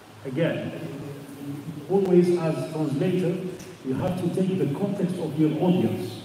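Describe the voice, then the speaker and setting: Audible room echo and noticeable background noise surround the voice. A man speaks at a fairly slow pace. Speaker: Islamic studies teacher. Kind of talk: lecture. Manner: halting, with repetitions and fillers.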